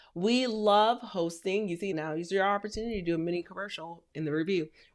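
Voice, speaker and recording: A woman at medium pitch in an animated tone, very fast, with ordinary pitch variation. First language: not English; English is her third language. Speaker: podcast host and rental business coach. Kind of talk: educational podcast talk.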